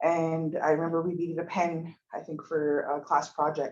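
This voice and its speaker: A Montana accent at a moderate pace. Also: woman. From Montana, Blackfeet reservation (Browning). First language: Blackfeet. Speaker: pre-med student. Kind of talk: presentation. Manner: hesitant, many fillers.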